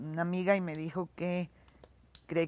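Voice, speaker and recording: Moderate pace against a quiet background. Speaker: daughter of Spanish exile. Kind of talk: documentary interview testimony.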